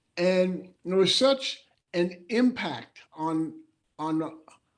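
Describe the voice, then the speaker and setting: A high-pitched man with a New York accent and lively intonation. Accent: New York American English. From New Rochelle, New York, USA. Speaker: former professional basketball player, memoir author. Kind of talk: interview answer.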